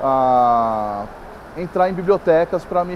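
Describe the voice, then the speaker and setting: The voice has a São Paulo accent and lively intonation. Background noise is noticeable. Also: man. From Brazil, São Paulo. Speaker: writer. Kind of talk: interview. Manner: halting, many fillers.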